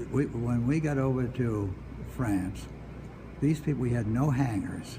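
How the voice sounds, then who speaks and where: A man with an American accent and a medium pitch speaks at a fairly slow pace with ordinary pitch variation and very even loudness, with audible room echo around him. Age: 90s. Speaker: war veteran. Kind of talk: interview. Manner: halting.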